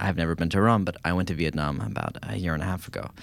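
Very clean recording with a silent background, featuring a man in an American accent. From California. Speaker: food editor. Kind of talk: casual panel discussion.

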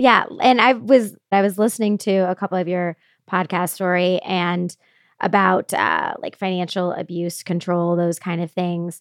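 A woman with a Midwestern American accent, medium pitch, fairly even intonation and a moderate pace, on a very clean recording with a silent background and a dry, close sound with no echo. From Indiana, US Midwest. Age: 30s. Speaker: podcast host. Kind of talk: casual interview chat.

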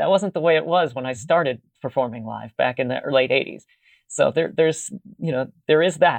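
A man's fairly quick speech with an American accent, fairly high in pitch with vocal fry and ordinary pitch variation. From Pittsburgh, US. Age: 50s. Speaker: musician and video archivist. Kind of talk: casual chat.

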